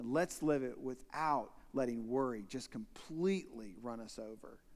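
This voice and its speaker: Animated in tone, a man with a medium pitch speaks using lively intonation. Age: 40s. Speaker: visiting pastor. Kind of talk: sermon. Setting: church.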